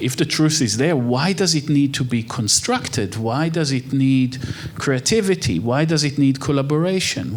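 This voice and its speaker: Over noticeable background noise and audible room echo, a man with an Israeli accent and fairly high pitch speaks at a moderate pace. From Israel (Haifa). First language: Hebrew. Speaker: architect and human rights researcher. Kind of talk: on-stage interview.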